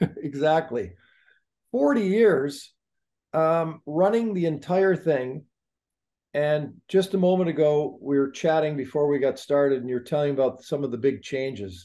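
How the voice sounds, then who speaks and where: A man's fairly high pitch and dark, mellow tone, with lively intonation at a fairly slow pace. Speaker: hockey show host. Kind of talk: podcast interview host. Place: home room. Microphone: video call.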